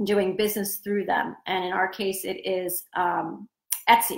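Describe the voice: With audible room echo, a woman at a medium pitch speaks at a fairly slow pace in a fairly bright tone, her pitch barely moving.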